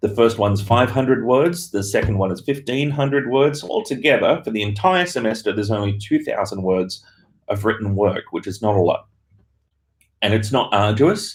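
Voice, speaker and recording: In an Australian accent, a man of medium pitch speaks at a moderate pace with lively intonation and a somewhat breathy sound. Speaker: university lecturer. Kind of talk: live Q&A stream. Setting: office, live stream from laptop. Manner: hesitant with fillers.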